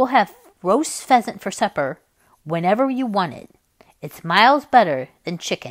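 Lively intonation colors a natural reading voice. The background is quiet.

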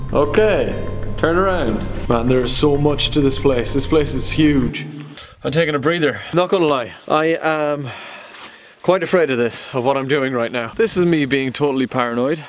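A man speaking at a moderate pace over music in the background. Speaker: adventure vlogger. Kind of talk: casual vlog chat. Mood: nervous, scared. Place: tunnel cave. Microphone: phone near.

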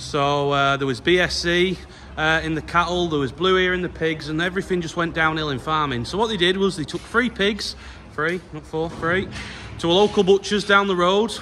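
Against light background noise, a man speaks at a high pitch with ordinary pitch variation. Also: moderate pace. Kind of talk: casual vlog chat. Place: farm machine. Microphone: phone near.

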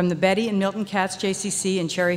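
A woman talks at a moderate pace. Light noise sits in the background. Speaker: nonprofit board member. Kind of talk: award presentation. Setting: stage with audience. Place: stage. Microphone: podium.

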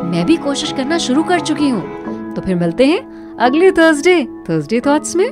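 Speech with hardly any pauses over music in the background. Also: woman. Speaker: radio jockey. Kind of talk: motivational talk. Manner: casual, friendly.

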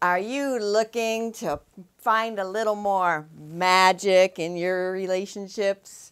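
A woman with an American accent speaks at a very slow pace. Her pitch varies in an ordinary way, and the background is quiet. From US, New Hampshire. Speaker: public speaker. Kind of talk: promotional introduction. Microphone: lapel.

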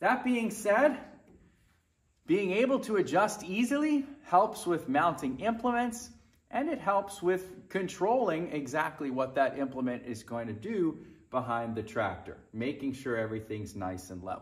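Over a quiet background, a man speaks at a fairly slow pace in a high voice with very wide pitch swings. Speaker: tractor owner. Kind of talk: tutorial. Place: garage.

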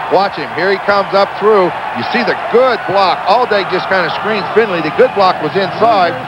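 A man speaks at a moderate pace with a high pitch, a calm tone, fairly even intonation and hardly any pauses, over noticeable background noise. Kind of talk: live commentary. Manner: measured, explanatory analyst tone, calm and knowing.

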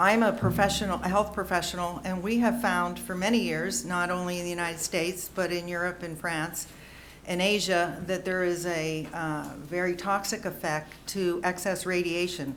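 Amid noticeable background noise and audible room echo, a woman with an American accent talks at a moderate pace and a fairly low pitch with fairly even intonation. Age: 60s. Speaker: health professional, public commenter. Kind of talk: public comment at board meeting. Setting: school board meeting, podium.

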